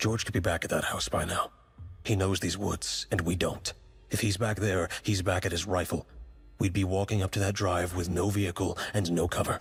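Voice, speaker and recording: In a put-on character voice, a man speaks at a very deep, low pitch with monotone, flat intonation and very even loudness. His pace is moderate, and faint music plays in the background. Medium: read story. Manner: steady, quieter than usual.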